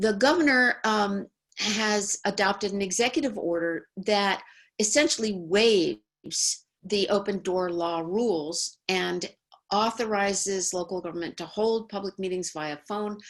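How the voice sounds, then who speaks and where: In an unremarkable speaking voice, a woman talks at a fairly slow pace and medium pitch. Her pitch variation is ordinary, and the background is quiet. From New York. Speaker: law professor. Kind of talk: webinar presentation.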